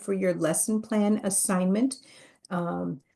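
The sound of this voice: Unforced voice reading aloud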